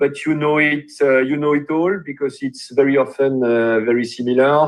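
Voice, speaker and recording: In a French accent, a man speaks fairly slowly at a fairly high pitch with fairly even intonation. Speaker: webinar host. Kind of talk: webinar introduction.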